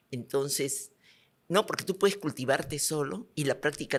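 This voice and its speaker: The background is silent and the recording very clean. A woman talks with lively intonation. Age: 70s. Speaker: businesswoman, company co-founder. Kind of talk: interview conversation.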